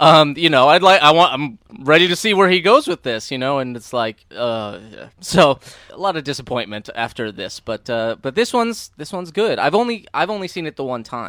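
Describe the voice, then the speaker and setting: With a bright, sharp tone, a man speaks at a moderate pace in a fairly high pitch, his voice making very wide pitch swings and big swings in loudness. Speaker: podcast co-host, movie commentator. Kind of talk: casual movie commentary chat.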